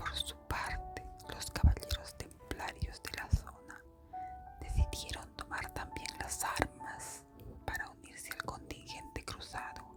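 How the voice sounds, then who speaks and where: Someone whispers at a very slow pace while music plays in the background. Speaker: ASMR storyteller. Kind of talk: history narration. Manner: whispered.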